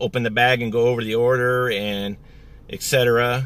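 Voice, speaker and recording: A bright, sharp tone in a dry sound with no echo. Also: man. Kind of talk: casual vlog chat. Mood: annoyed, telling a grievance. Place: car. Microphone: phone near.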